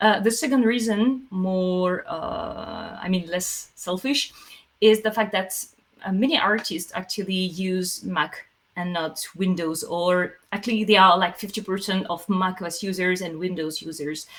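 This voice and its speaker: A woman with a French accent speaks fairly slowly at a medium pitch, using ordinary pitch variation. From France. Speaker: software company CEO. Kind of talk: Q&A answering audience questions. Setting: online livestream meetup. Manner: hesitant, many fillers.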